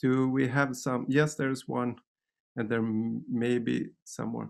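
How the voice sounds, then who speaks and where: Speaking slowly-ish at a fairly slow pace, a man with a Swedish accent keeps a medium pitch. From Sweden. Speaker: dance teacher. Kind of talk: seminar presentation. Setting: video call. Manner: halting.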